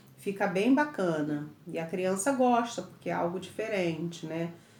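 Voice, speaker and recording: A woman's fairly low voice at a fairly slow pace, with audible room echo. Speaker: teacher. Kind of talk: lecture.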